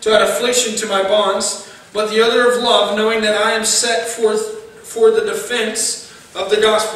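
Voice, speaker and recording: In audible room echo, a man talks at a moderate pace in a high voice. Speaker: preacher. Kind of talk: sermon. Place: church. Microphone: podium.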